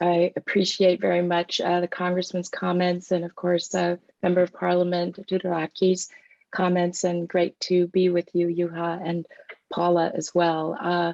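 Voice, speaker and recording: A woman with an American accent, fairly low in pitch, in a monotone, flat intonation at a moderate pace, with a dry, close sound and no echo. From United States. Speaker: policy executive, former lawyer. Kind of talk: panel discussion.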